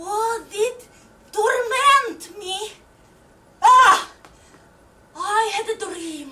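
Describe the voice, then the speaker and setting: Putting on a character voice at an extremely high pitch, a woman speaks at a very slow pace with long, frequent pauses. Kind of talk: live theatre monologue.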